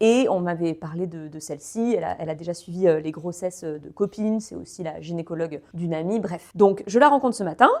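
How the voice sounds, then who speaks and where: Fairly quick, animated speech from a woman with lively intonation. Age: 30s. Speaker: podcaster sharing personal pregnancy diary. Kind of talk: personal voice-note monologue. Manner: fast.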